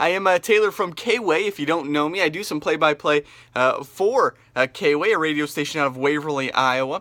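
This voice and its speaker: The tone is bright and sharp, with ordinary pitch variation at a fairly quick pace. The sound is dry and close, with no echo. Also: man, fairly high pitch for a man. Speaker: radio play-by-play announcer. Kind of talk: casual vlog talk. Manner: hesitant, many fillers.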